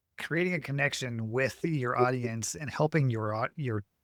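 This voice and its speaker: In a dry, close sound with no echo, a man uses an ordinary speaking voice at medium pitch, with ordinary pitch variation and a moderate pace. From Montana. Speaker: podcast host. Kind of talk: interview.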